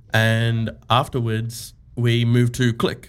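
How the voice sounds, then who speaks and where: A man with an Australian accent, medium in pitch. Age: 20s. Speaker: e-commerce co-founder. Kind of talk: casual interview.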